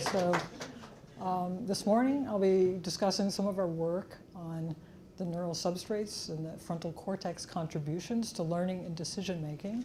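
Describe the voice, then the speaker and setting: Audible room echo follows a woman's somewhat breathy, dark, mellow voice. She keeps a moderate pace and medium pitch with ordinary pitch variation. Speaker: neuroscientist giving an invited lecture. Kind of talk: lecture.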